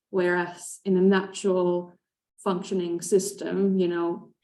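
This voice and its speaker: Speaking with a Finnish accent, a woman uses a medium pitch and a dark, mellow tone, moving fairly slowly in a monotone, flat delivery. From Finland. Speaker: conservation expert. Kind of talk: panel discussion. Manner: hesitant, many fillers.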